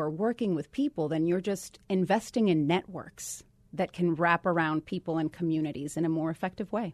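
A woman with a Puerto Rican accent speaks at a fairly quick pace with a fairly low pitch. The sound is dry and close with no echo, over a quiet background. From Puerto Rico. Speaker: state government official. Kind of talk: radio interview.

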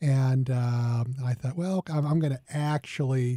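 A man with a medium-pitched, somewhat breathy voice and a dark, mellow tone talks at a moderate pace with ordinary pitch variation. The sound is dry and close, with no echo. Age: 50s. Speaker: radio co-host and doctor. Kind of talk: casual chat.

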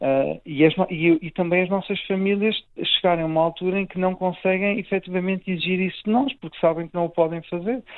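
Intonation stays fairly even as a man speaks at a high pitch. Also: fairly quick pace. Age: 30s. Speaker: cardiac surgeon. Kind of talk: interview. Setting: hospital. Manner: halting.

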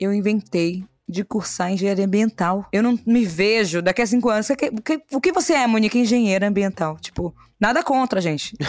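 A woman with a plain, everyday voice talks at a fairly quick pace and medium pitch, with ordinary pitch variation and very even loudness, in a dry, close sound with no echo. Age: 20s. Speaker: podcast host and entrepreneur. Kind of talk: casual interview.

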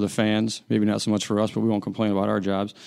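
With an American accent and a fairly low pitch, a man talks at a very fast pace on a very clean recording with a silent background. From Chicago, US Midwest. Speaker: sports journalist. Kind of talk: casual chat.

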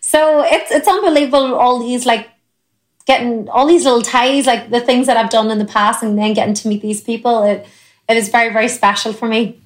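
Fairly quick speech in an Irish accent, with ordinary pitch variation. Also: woman, fairly high pitch for a woman. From Ireland. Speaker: country singer. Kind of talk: interview chat.

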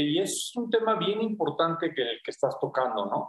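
His pitch sits high for a man. This male speaker holds a moderate pace. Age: 50s. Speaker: physician, pulmonologist and intensivist. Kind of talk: radio interview. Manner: hesitant, many fillers.

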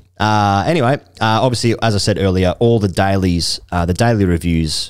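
An Australian accent comes through. Intonation rises and falls in a lively way. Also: man. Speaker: cricket podcast host. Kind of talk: casual chat. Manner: animated.

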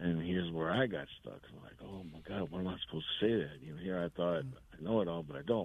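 Speaking very fast with an American accent, a man has a very deep, low pitch. His pitch variation is ordinary. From Seguin, Texas. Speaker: caller. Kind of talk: casual chat. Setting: phone call.

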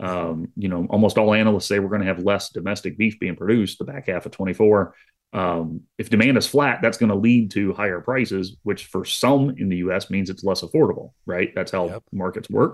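In an ordinary speaking voice, a man talks at a fairly quick pace with hardly any pauses, a fairly low pitch and ordinary pitch variation. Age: 40s. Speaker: agricultural economics professor. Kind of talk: radio interview.

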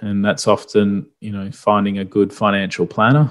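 A man with an Australian accent, fairly low in pitch, at a moderate pace on a very clean recording with a silent background. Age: 30s. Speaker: property investment podcast host. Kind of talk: solo podcast explainer.

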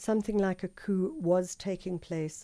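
A woman speaks with a South African accent. Her tone is dark and mellow, and her pace is fairly slow. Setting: studio.

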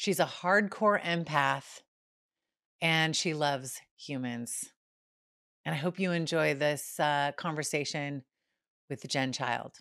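A woman with a very deep, low voice speaks at a very slow pace, with long, frequent pauses. Her pitch varies in an ordinary way, and the recording is very clean with a silent background. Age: 50s. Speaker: podcast host. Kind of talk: scripted intro and outro; casual interview.

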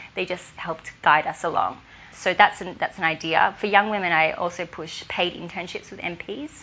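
Over noticeable background noise, someone with an Australian accent speaks with fairly even intonation. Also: woman. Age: 20s. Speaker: law student and youth advocate. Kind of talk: interview.

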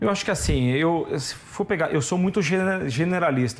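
Featuring a normal speaking voice, a man talks at a moderate pace. His pitch varies in an ordinary way. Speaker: retail company CEO. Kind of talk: interview.

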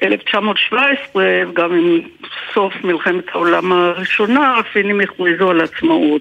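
Over noticeable background noise, a woman with a Swedish accent speaks very slowly at a medium pitch. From Finland. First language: Swedish (speaking Hebrew). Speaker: translator. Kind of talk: interview. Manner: halting.

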